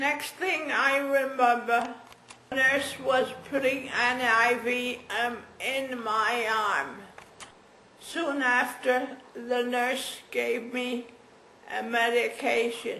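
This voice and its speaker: Through noticeable background noise and audible room echo, a woman talks very slowly at a high pitch with fairly even intonation. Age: 80s+. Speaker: stroke patient. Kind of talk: testimony. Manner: halting.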